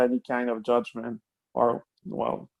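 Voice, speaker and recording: Speaking in a French accent with fairly even intonation, a man is heard in a dry, close sound with no echo. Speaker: online gaming club member. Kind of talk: casual chat. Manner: halting, many fillers.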